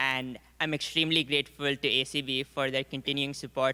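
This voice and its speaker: A man with an Indian accent talks at a fairly quick pace, his pitch fairly high. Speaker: scholarship winner, college student. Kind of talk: short acceptance speech.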